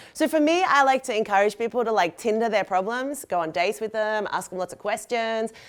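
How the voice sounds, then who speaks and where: In a very clean recording with a silent background, a woman with an Australian accent speaks fairly quickly at a fairly high pitch, with lively intonation and hardly any pauses. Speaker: designer and sustainability educator. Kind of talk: lecture. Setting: stage with audience. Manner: fast; animated.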